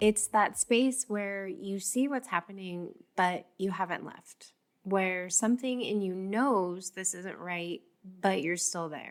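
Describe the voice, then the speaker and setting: Speaking at a very slow pace, a woman with a medium pitch shows ordinary pitch variation and big swings in loudness. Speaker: podcast host on abusive relationships. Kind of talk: reflective podcast monologue. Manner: gentle, measured.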